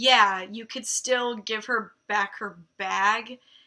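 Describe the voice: Plain reading aloud with ordinary pitch variation, over a quiet background.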